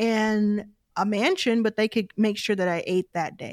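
An unremarkable speaking voice moves at a fairly slow pace. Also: woman. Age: 30s. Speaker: venture capital investor. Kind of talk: casual chat.

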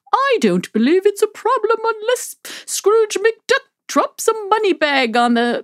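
A woman's put-on character voice, extremely high in pitch with very wide pitch swings, fairly slow, and dry and close with no echo. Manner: mocking.

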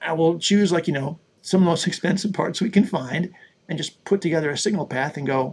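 Speaking at a fairly quick pace with a Western New York accent, the voice shows ordinary pitch variation. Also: man. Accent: Western New York American. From US, Buffalo, New York. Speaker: audio plugin developer. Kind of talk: interview. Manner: hesitant, filler-heavy.

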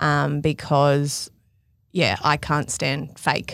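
Speaking at a very slow pace in an Australian accent, a woman with a very deep, low pitch and vocal fry keeps her intonation fairly even over a very clean recording with a silent background. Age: 30s. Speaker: fashion stylist. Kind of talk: casual interview chat.

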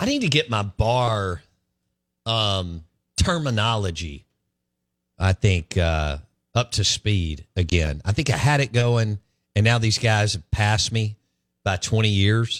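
Talking with a Southern US accent, a man uses a fairly low pitch and lively intonation at a fairly slow pace with long, frequent pauses. The recording is very clean with a silent background, a dry, close sound with no echo. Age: 40s. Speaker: sports radio host. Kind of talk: casual chat. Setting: studio.

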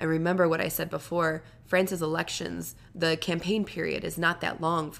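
A woman talks at a moderate pace in a fairly low pitch, with vocal fry and a monotone, flat intonation. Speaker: podcast co-host. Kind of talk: casual chat.

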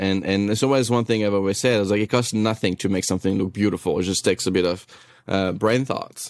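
On a very clean recording with a silent background, a man with a French accent and fairly low pitch speaks with fairly even intonation in a dry, close sound with no echo. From France. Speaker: chef. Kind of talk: casual interview chat.

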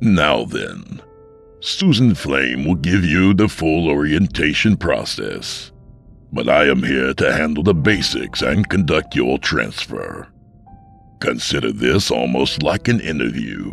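With faint music in the background, a man uses a put-on character voice at an extremely low pitch, slow and with vocal fry, a fairly bright tone and big pitch swings.

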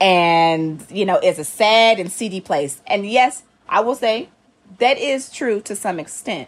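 In a Southern US accent, a woman talks fairly slowly at a fairly high pitch, her tone animated and her intonation lively, in a very clean recording with a silent background. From US South. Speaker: playwright and TV showrunner. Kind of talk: casual interview.

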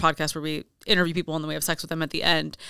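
A woman's bright, sharp tone comes through dry and close with no echo on a very clean recording with a silent background. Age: 30s. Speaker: adult content creator. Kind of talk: casual chat.

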